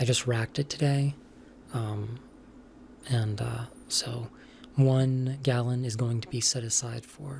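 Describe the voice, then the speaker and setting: Soft-spoken and fairly slow, the speaker leaves long, frequent pauses. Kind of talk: casual rambling monologue.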